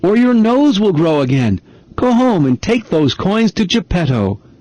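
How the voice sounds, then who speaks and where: A put-on character voice of middle pitch, swinging very widely up and down, at a moderate pace. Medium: read story. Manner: gentle.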